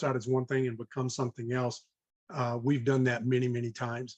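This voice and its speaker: A man at a medium pitch and a fairly quick pace, somewhat breathy. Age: 60s. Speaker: real estate investor. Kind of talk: podcast interview. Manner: halting, many fillers.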